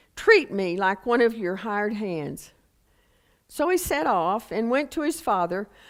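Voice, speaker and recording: In a Texas accent, a woman speaks at a fairly slow pace with a fairly high pitch and lively intonation. The recording is very clean, the background silent. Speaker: preacher. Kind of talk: scripture reading; sermon.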